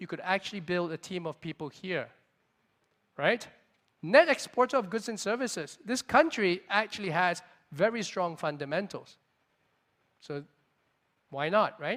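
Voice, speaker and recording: Speaking at a moderate pace, a man with a high pitch uses lively intonation and takes long, frequent pauses. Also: big swings in loudness. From Singapore. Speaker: venture capitalist. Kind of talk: conference keynote talk. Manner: loud; energetic.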